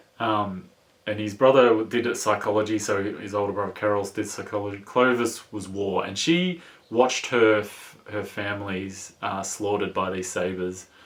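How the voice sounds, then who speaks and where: A man talks with a strong Australian accent at a moderate pace. His fairly low voice keeps a fairly even intonation. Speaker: book reviewer. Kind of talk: book review. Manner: halting, many fillers; casual.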